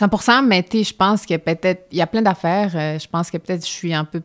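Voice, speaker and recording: A woman with a normal speaking voice talks at a medium pitch with ordinary pitch variation, the sound dry and close with no echo. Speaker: stage actress. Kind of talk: interview conversation.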